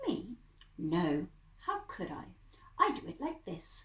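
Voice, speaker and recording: Putting on a character voice, a woman speaks at a high pitch and a fairly slow pace. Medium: read story.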